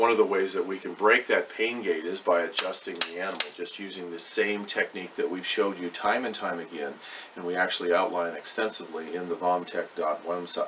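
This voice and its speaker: With noticeable background noise, a man talks at a fairly quick pace with hardly any pauses. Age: 60s. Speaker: veterinarian. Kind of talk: lecture.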